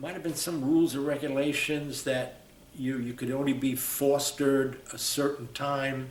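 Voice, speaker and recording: A man talking at a fairly slow pace, with audible room echo and noticeable background noise. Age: 70s. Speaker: war veteran. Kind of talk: oral history interview. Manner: halting.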